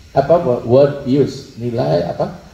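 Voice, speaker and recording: A man talks over noticeable background noise. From Bali, Denpasar. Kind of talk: religious talk.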